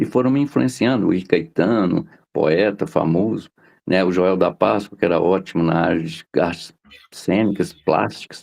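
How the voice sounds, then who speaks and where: Talking at a moderate pace, a man with a very deep, low pitch uses lively intonation. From Minas Gerais, Brazil (interior). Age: 60s. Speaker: journalist and poet. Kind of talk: interview.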